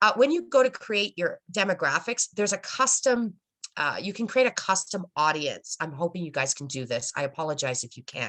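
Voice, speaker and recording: A woman at medium pitch, with very wide pitch swings, big swings in loudness, a fairly quick pace and a dry, close sound with no echo. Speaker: social media marketing presenter. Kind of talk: webinar presentation. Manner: fast.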